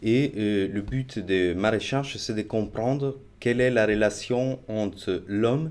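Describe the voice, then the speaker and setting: A man's fairly low voice with an Italian accent, very slow, with ordinary pitch variation. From Italy. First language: Italian (speaking French). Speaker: marine researcher. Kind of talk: interview. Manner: hesitant, many fillers.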